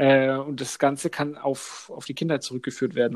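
This man speaks at a moderate pace with a fairly high pitch. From Upper Franconia, Germany. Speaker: podcast co-host. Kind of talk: casual chat.

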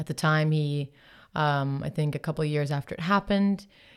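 In an American accent, a woman speaks with a very deep, low pitch. The recording is very clean, with a silent background. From Ireland. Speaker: singer-songwriter. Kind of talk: casual interview chat. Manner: open, candid.

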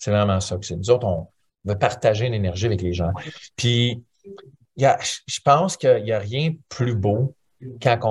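A man with a medium-pitched, somewhat breathy voice speaks at a fairly slow pace, with ordinary pitch variation over a quiet background. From Ontario, Canada (Franco-Ontarian). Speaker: musician. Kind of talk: interview.

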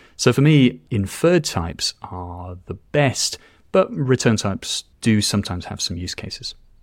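Speaking at a moderate pace with a British accent, the voice shows very wide pitch swings and big swings in loudness. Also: man, medium pitch for a man. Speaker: TypeScript educator. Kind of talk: casual interview chat. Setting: remote call.

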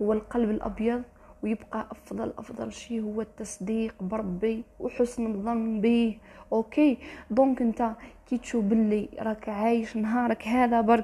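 A woman's fairly high voice, flat and monotone, with an Algerian accent. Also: fairly slow pace. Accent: Algerian Arabic with French code-switching. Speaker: motivational vlogger. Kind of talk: motivational monologue. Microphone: poor sound quality.

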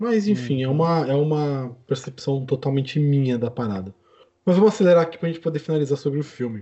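Very fast pace and lively intonation from a man with a fairly high pitch and a somewhat breathy sound. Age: 20s. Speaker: podcast host. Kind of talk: casual chat.

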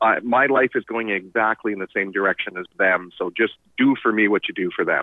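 In an unremarkable speaking voice, fairly low with ordinary pitch variation, a man talks at a fairly quick pace with hardly any pauses. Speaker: financial advisor. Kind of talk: casual chat.

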